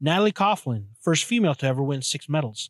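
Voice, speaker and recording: A man with a fairly high pitch is heard in a dry, close sound with no echo, in a very clean recording with a silent background. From Canada. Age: 30s. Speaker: podcast host. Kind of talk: casual monologue. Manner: halting, many fillers and repetitions.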